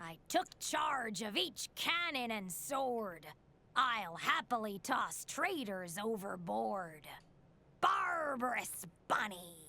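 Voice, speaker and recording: A female-sounding put-on character voice, pitched fairly high for a woman, speaks at a very slow pace. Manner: obnoxious.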